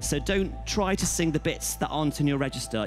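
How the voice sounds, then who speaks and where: A man speaks fairly quickly while music plays clearly in the background. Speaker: talent show judge. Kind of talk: critique feedback. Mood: warm, encouraging. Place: stage. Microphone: headset.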